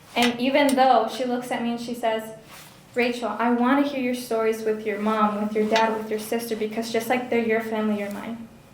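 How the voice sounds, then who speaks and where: The delivery is monotone and flat at a fairly quick pace. Noticeable background noise and audible room echo fill the recording. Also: woman, fairly high pitch for a woman. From Honduras. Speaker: speaker who grew up at the ministry. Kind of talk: testimony. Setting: fundraising banquet with audience.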